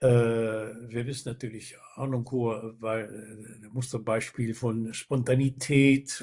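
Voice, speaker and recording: This man speaks very slowly at a medium pitch, somewhat breathy. His intonation is monotone and flat. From Netherlands. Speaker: baritone singer. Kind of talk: interview answer.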